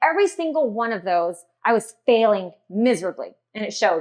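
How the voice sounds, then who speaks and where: A woman with an American accent talks at a fairly quick pace in a fairly high pitch, with lively intonation. She has an ordinary speaking voice. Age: 40s. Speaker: dietitian and wellness keynote speaker. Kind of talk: keynote speech.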